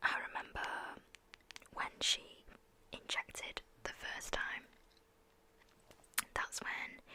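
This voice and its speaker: A woman whispers at a very slow pace with long, frequent pauses. Noticeable background noise runs underneath. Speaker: ASMR creator. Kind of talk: personal story about losing a pet. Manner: slow, emotional, halting.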